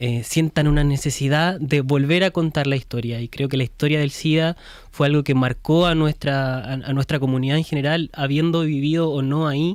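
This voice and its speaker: An ordinary speaking voice with fairly even intonation, moving at a moderate pace with hardly any pauses. The recording is very clean, with a silent background. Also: man, fairly high pitch for a man. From Chile. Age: young. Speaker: film director. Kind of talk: interview.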